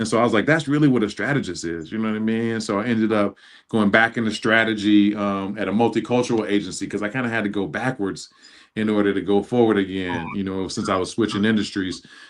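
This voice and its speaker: A man with an American accent speaks very fast in a fairly low pitch. The background is quiet. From Chicago, US Midwest. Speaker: marketing executive. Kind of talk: casual chat. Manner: animated.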